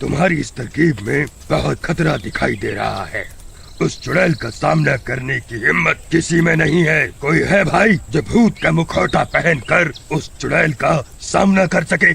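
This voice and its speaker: A man does a cartoonish character voice over clear background noise. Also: moderate pace. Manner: measured, authoritative.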